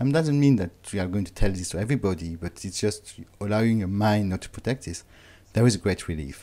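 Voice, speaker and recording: On a very clean recording with a silent background, a man races along at a very fast pace in a fairly low pitch with a dark, mellow tone. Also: lively intonation. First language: not English. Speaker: author and inspirational speaker. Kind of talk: interview. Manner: halting.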